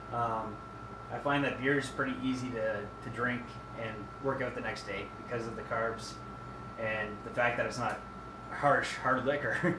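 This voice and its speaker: Noticeable background noise and audible room echo surround a man speaking at a medium pitch. He goes at a moderate pace with long, frequent pauses. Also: fairly even intonation. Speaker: fitness vlogger. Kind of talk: casual vlog monologue. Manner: halting, many fillers.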